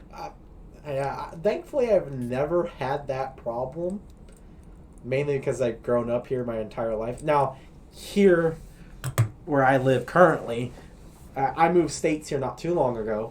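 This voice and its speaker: A man with an American accent, medium pitch, ordinary pitch variation, a fairly slow pace and long, frequent pauses. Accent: slight Colorado accent, per others. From Colorado. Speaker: podcast host. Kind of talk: casual chat. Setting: smoking a cigar while recording.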